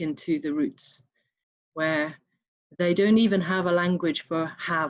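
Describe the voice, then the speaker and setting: Speaking with an English accent, a woman takes a fairly slow pace. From Scotland. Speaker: online summit participant. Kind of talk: group sharing circle.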